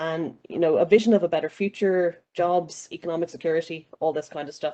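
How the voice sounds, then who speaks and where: A woman with an Irish accent speaks at a fairly quick pace in a fairly low pitch with a dark, mellow tone. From Ireland. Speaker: panelist. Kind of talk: panel discussion.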